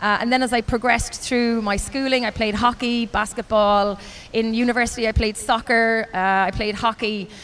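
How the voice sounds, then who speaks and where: A woman talks with very even loudness. Her intonation is monotone and flat. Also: fairly high pitch for a woman, moderate pace. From Ireland. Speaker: race announcer. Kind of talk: interview answer.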